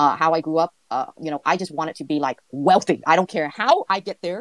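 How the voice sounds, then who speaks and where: With a Vietnamese accent, a woman talks at a fairly quick pace in a fairly low pitch with ordinary variation, the sound dry and close with no echo. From California, raised from age five; born in Vietnam. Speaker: entrepreneur, guest interviewee. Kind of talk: interview, casual chat. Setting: online audio space. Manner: halting, many fillers.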